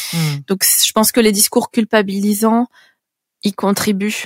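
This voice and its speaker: The woman's voice is fairly high in pitch with fairly even intonation. The sound is dry and close, with no echo. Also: very clean recording, silent background. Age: 30s. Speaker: patient advocate. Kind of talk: interview. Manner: halting.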